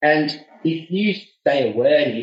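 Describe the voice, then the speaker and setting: Somewhat breathy and with lively intonation, a man speaks in a rural Australian accent. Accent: relaxed rural Australian. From regional Australia. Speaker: public speaking coaching student. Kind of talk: interview. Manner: laid back; halting, repeats words.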